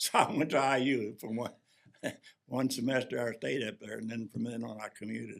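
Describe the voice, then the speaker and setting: With vocal fry and fairly even intonation, a man in an American accent talks at a fairly quick pace. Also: medium pitch for a man. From US Midwest, Bedford, Indiana. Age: 90s. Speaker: war veteran. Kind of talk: oral history interview.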